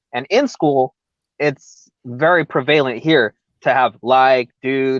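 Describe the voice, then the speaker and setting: Against a quiet background, a man talks in a Californian accent. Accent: recognizably Californian. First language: Spanish. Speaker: MMA podcast co-host. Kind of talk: casual chat. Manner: halting.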